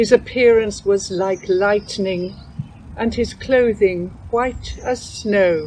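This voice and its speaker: Noticeable background noise sits behind this recording. A woman speaks at a medium pitch and a very slow pace, with fairly even intonation. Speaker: scripture reader. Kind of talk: reading aloud.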